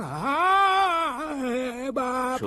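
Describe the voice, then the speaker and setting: A put-on character voice, pitched high. It comes out as shouting. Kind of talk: street slang. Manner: shouting in pain.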